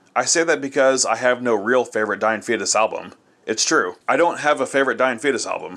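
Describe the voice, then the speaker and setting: A man's medium-pitched voice, an ordinary speaking voice, with ordinary pitch variation at a fairly quick pace. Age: 30s. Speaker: metal podcast host, album reviewer. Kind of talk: album review monologue.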